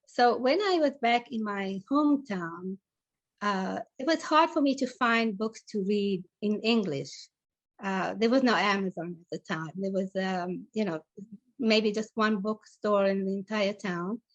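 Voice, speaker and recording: Speaking at a fairly slow pace in an Italian accent, a woman uses lively intonation at a medium pitch, the sound dry and close with no echo against a quiet background. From Italy, with childhood in South Africa. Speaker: novelist. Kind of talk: interview. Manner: halting, many fillers.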